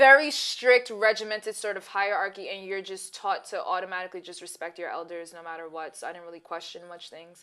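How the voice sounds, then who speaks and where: A woman at medium pitch talks at a fairly quick pace with a slight Brooklyn accent and ordinary pitch variation. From Brooklyn, New York (Bed-Stuy). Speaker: co-host of a talk show. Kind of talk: casual chat.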